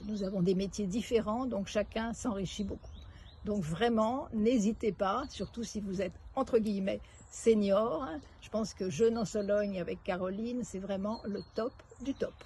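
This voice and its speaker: A woman's dark, mellow, somewhat breathy voice of medium pitch moves at a fairly slow pace, with fairly even intonation and big swings in loudness. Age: 70s. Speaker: retired executive, retreat participant. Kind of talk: testimonial interview. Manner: halting.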